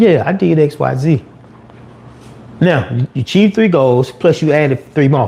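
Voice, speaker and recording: Against noticeable background noise, a man with a fairly high pitch talks at a moderate pace with lively intonation and long, frequent pauses. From US South, Atlanta. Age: 50s. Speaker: YouTuber. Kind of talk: livestream rant. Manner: casual, conversational.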